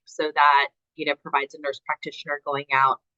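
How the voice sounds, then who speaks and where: This woman talks at a fairly quick pace. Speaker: clinical social worker. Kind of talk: lecture. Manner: fast.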